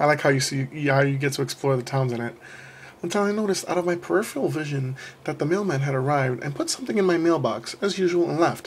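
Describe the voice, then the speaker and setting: This man rattles along very fast, his fairly high pitch moving with ordinary variation. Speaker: creepypasta narrator. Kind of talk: horror story reading.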